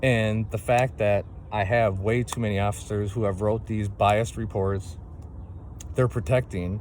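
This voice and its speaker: A man talks at a moderate pace. His voice is fairly low. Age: 40s. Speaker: single parent making a complaint video. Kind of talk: personal testimony monologue. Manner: impassioned, repetitive with fillers.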